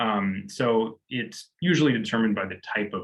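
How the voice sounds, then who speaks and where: This is a normal speaking voice from a man. He has a fairly low pitch and a moderate pace. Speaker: university lecturer. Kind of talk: tutorial.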